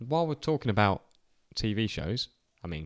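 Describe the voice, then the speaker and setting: A man with an English accent speaks at a fairly low pitch, with very wide pitch swings. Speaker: podcast co-host. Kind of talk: casual chat.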